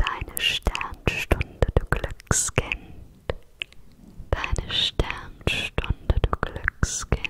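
Whispering at a very slow pace, a woman speaks. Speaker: ASMR creator. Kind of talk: ASMR whispered trigger words. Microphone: studio mic.

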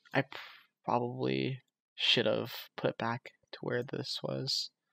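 A man speaks quietly at a fairly slow pace, the sound dry and close with no echo. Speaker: game programming tutorial creator. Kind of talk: screen-recorded coding tutorial. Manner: quiet, subdued speaking; casual with many fillers.

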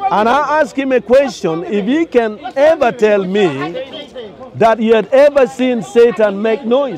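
A man with an extremely high pitch talks fairly slowly in an animated tone, with ordinary pitch variation. The sound is dry with no echo, but background noise is noticeable. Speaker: street debater. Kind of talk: heated debate. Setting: outdoors. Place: open country. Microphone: camera far.

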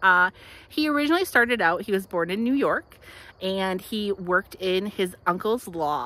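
Her tone is bright and sharp, with lively intonation at a moderate pace. The woman's voice has a dry sound with no echo. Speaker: local history guide. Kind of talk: casual tour commentary. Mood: cheerful, animated. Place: open country. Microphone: phone near.

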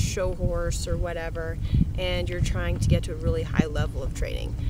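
Woman's voice, dry with no echo, over loud background noise. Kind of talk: casual vlog chat. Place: open country.

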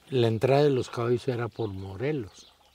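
Speech at a fairly slow pace with ordinary pitch variation comes through noticeable background noise. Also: man. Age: 70s. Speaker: charro and horse breeder. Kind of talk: casual interview chat. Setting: on a hacienda, outdoors.

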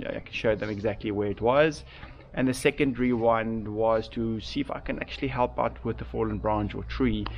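Light background noise sits behind this man. He speaks at a fairly quick pace. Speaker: mountain biker vlogger. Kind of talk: casual vlog chat. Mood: rueful, calm. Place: garden. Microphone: phone near.

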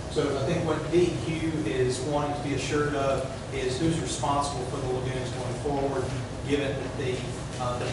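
A man's voice comes through loud background noise and audible room echo. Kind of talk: formal presentation to a board. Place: hall. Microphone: camera far.

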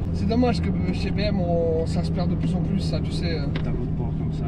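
A man's voice over loud background noise. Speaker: car reviewer driving. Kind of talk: casual car review chat. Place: car. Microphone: camera far.

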